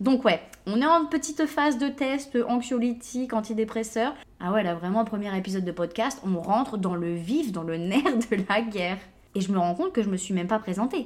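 With lively intonation and a moderate pace, this woman talks in a normal speaking voice. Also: fairly high pitch for a woman. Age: 20s. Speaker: podcast host. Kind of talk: casual monologue. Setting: home recording at computer.

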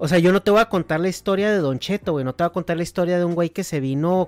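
Fairly high male speech with ordinary rises and falls in pitch, the sound dry and close, free of echo. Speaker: podcast host. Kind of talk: casual chat.

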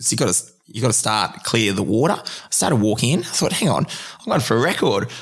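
This man has an Australian accent and a medium pitch. He talks at a fairly quick pace with lively intonation. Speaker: marathon open water swimmer. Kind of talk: interview conversation. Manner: halting.

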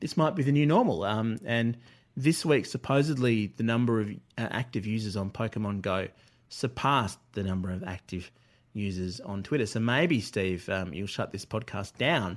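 Recorded cleanly with a silent background, a man with an Australian accent speaks at medium pitch and a moderate pace, his intonation lively. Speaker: writer and former radio presenter.

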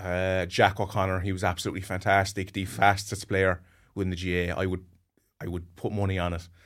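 A man with a Cork accent, a very deep, low pitch, a fairly quick pace and a monotone, flat intonation. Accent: Cork Irish. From Cork, Ireland. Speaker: GAA podcast guest pundit. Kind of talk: casual chat.

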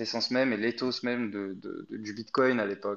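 An unremarkable speaking voice from a man, medium in pitch, fairly slow, with fairly even intonation over a quiet background. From Egypt. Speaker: crypto company employee. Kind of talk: interview.

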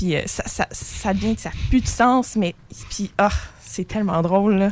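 With ordinary pitch variation, a woman talks at a moderate pace and medium pitch. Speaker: student theatre performer. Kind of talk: interview.

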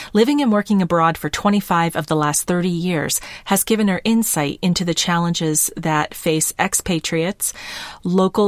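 A woman with an American accent, fairly low in pitch, with ordinary pitch variation and a moderate pace. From US Midwest. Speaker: podcast host. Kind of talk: interview podcast. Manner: direct.

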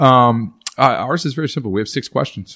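A man talks with a Texan accent. The background is quiet. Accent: Texan American. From Texas. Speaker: digital agency owner and speaker. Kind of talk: podcast interview.

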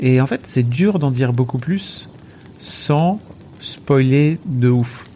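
A man's medium-pitched voice with ordinary pitch variation, at a very slow pace with long, frequent pauses. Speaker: Twitch streamer. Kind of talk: casual chat. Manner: animated.

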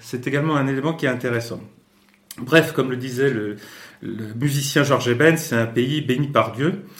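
A man with a somewhat breathy voice talks amid audible room echo. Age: 60s. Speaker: Brazil expert and communication consultant. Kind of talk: interview. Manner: halting with frequent hesitations.

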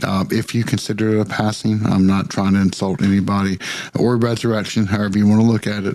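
A man speaks at a fairly low pitch with monotone, flat intonation. Noticeable background noise runs behind him. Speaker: podcast co-host. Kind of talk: casual chat.

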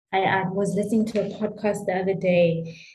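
With a dark, mellow tone, a woman speaks very slowly, somewhat breathy and in a monotone, flat intonation, amid audible room echo. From South Africa. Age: 30s. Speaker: winemaker. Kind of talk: interview.

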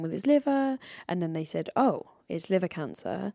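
A woman with a southern English accent, medium pitch and a dark, mellow tone, in a very clean recording over a silent background. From England. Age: 30s. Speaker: comedian and podcast host. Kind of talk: casual interview.

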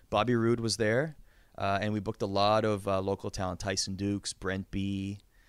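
With an unremarkable speaking voice, a man with a Canadian accent speaks at a moderate pace, fairly low in pitch with fairly even intonation, in a very clean recording with a silent background. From Canada. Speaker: wrestling announcer. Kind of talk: casual interview.

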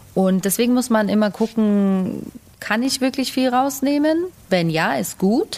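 A woman speaks in an ordinary speaking voice with lively intonation and very even loudness. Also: fairly high pitch for a woman. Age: young. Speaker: head chef. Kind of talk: casual chat.

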